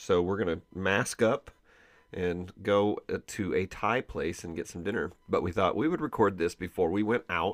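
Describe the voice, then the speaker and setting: A man with a fairly low pitch and ordinary pitch variation, at a moderate pace, against a quiet background. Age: 50s. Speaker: podcast host. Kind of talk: casual chat, interview with his wife. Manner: loud.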